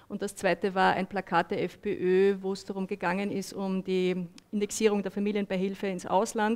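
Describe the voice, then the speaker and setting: A woman talks at a moderate pace in a monotone, flat intonation. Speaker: moderator, journalist. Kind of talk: panel moderation. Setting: stage with audience. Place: meeting room. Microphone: headset.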